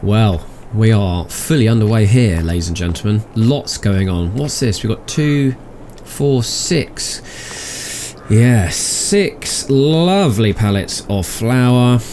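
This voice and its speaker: Speaking at a very slow pace, the man uses lively intonation while noticeable background noise is present. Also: medium pitch for a man. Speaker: gaming video host. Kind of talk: gameplay commentary. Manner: soft-spoken.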